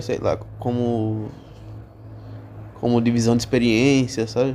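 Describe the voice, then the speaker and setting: Male speech, medium in pitch and very slow in pace. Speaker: waiter and podcast host. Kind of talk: casual monologue podcast. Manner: halting, with repetitions.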